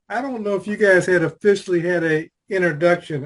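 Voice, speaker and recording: A loud, high-pitched man's voice at a fairly quick pace with fairly even intonation. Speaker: life coach and conversation host. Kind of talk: casual video call chat.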